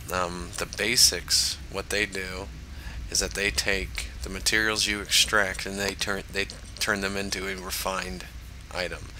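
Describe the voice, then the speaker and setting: A man with a very deep, low voice speaks at a fairly slow pace and ordinary pitch variation, with noticeable background noise. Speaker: gaming tutorial creator. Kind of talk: tutorial. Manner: hesitant, many fillers.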